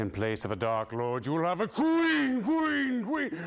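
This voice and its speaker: A man puts on a high-pitched character voice. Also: moderate pace. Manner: grand, echoing.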